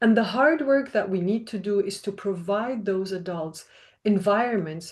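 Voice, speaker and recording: A woman with a non-native accent talks at a moderate pace. Her pitch is medium with ordinary variation, and the background is quiet. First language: not English. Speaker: researcher. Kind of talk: panel talk. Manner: formal.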